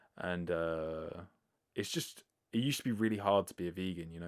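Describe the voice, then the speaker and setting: A man talks with a British accent. His pitch is very deep and low. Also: very clean recording, silent background. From Britain. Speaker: vegan podcast host. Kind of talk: casual monologue answering listener questions. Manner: casual, filler-heavy (likes, ers).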